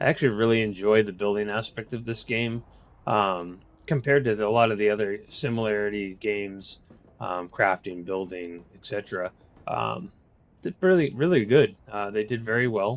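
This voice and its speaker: Speaking at a moderate pace with an American accent, a man keeps a fairly low pitch and ordinary pitch variation. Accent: Boston accent, here and there. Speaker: gaming video creator. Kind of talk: gameplay walkthrough. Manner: casual, halting with fillers.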